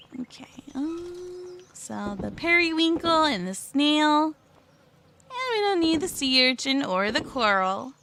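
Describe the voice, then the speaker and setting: A soft-spoken, squeaky woman talks in a high voice at a fairly slow pace. Her pitch swings very widely. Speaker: VTuber game streamer. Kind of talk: casual gaming livestream talk. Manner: quiet, soft-spoken.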